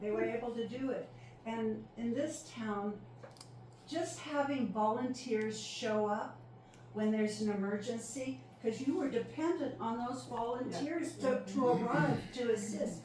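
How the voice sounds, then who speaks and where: A woman speaks at a fairly high pitch with ordinary pitch variation, her voice carrying audible room echo over noticeable background noise. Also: fairly slow pace. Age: 70s. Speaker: retired EMT and volunteer firefighter. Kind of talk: panel talk.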